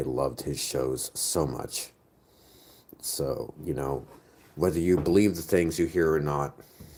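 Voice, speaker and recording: With an American accent, a man speaks at a moderate pace in a very deep, low pitch, his tone dark and mellow with vocal fry. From United States. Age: 30s. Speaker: streamer. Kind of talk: casual chat. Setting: live stream.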